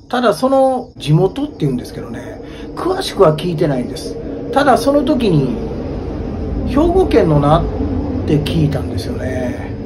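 A man speaks at a fairly slow pace over noticeable background noise. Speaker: ghost story teller. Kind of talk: ghost story telling on location. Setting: outdoors at a highway bus stop at night. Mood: hushed, suspenseful. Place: street. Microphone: phone near.

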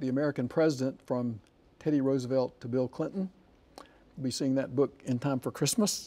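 At a fairly quick pace, a man speaks in a dark, mellow tone with ordinary pitch variation. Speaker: book program host. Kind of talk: interview questions. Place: studio.

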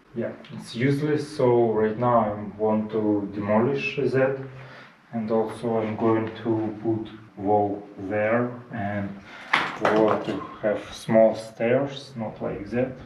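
A man delivers his words at a very slow pace, leaving long, frequent pauses, while noticeable background noise runs behind him. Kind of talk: casual vlog chat. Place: home room. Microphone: camera far.

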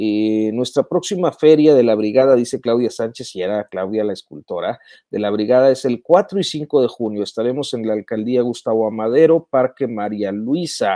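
Against a quiet background with a dry sound and no echo, a man speaks at a moderate pace with ordinary pitch variation and hardly any pauses. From Mexico. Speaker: journalist hosting a live news commentary stream; journalist live-stream host. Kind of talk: live-stream commentary and chat reading; casual live stream commentary, reading viewer comments. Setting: live online video stream. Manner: halting, many filler sounds. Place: home room. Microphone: earbuds.

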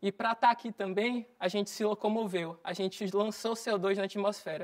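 Against a quiet background, a woman talks at a moderate pace with a medium pitch. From Bahia, Brazil (Recôncavo). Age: 20s. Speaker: climate activist. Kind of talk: motivational talk. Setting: stage with audience. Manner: animated. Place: studio.

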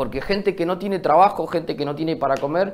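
Using ordinary pitch variation, a man speaks with a high voice. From Río Negro, Argentina. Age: 20s. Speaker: local mayoral candidate; candidate. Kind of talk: TV news interview. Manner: halting, many fillers. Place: studio.

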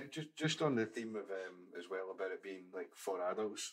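Fairly quick speech in a Glaswegian accent over light background noise. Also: man. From Scotland, Glasgow. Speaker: podcast co-host. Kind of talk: casual chat. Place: studio. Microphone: studio mic.

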